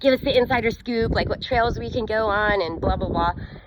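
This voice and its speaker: Over noticeable background noise, a woman with a fairly high voice speaks in an animated tone at a fairly quick pace, her pitch varying normally. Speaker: business coach and vlogger. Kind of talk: casual storytelling vlog. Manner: fast.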